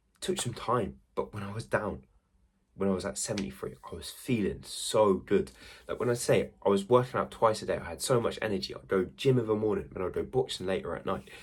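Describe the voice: At a fairly quick pace, a man speaks with a fairly low pitch and ordinary pitch variation.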